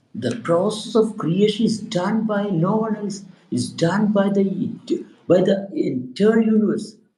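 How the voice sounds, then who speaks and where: Audible room echo surrounds a man with a high pitch. He talks at a fairly slow pace with ordinary pitch variation. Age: 60s. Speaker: spiritual teacher. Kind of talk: spiritual talk. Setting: live stream. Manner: halting.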